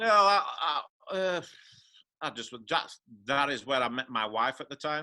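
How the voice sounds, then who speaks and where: Bright and sharp in tone, a man speaks fairly slowly at a fairly high pitch with lively intonation. Long, frequent pauses break up his speech, and the recording is very clean with a silent background. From England, Yorkshire. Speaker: professional pool player. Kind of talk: interview.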